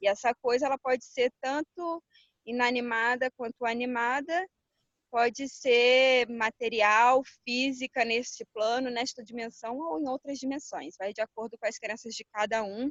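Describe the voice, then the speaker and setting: In a Rio de Janeiro accent, a woman speaks at a high pitch and a fairly slow pace with ordinary pitch variation. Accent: Rio de Janeiro (carioca). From Rio de Janeiro, Brazil. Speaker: holistic therapist and entrepreneur. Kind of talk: interview.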